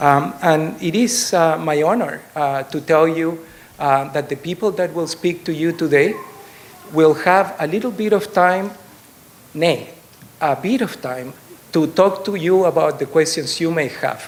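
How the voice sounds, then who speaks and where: Over noticeable background noise, a man with a high pitch and a slight Chilean accent talks at a fairly slow pace with ordinary pitch variation. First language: Spanish. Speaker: political candidate. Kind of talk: campaign speech. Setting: stage with audience. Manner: hesitant, many fillers.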